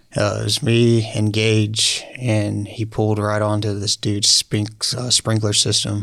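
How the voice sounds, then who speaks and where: Over noticeable background noise, a man speaks at a fairly slow pace with hardly any pauses. His pitch is fairly low and his intonation monotone and flat. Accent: American. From Oklahoma, Lawton area. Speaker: entrepreneur, door-to-door salesman. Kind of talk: casual interview. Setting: studio.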